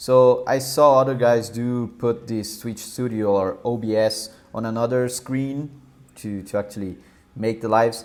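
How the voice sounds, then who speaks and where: A man speaks with a Brazilian Portuguese accent at a fairly slow pace. His medium-pitched voice stays monotone and flat. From southern Brazil. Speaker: software developer live streamer. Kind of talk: live coding stream. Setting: live stream. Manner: halting, many fillers and repeats.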